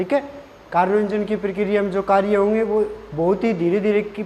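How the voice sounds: A man's high-pitched, dark, mellow voice at a moderate pace, with fairly even intonation.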